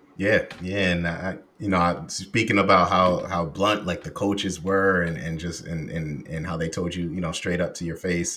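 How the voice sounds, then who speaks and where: Noticeable background noise sits under a voice with fairly even intonation. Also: man, hardly any pauses. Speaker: podcast host. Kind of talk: casual interview chat.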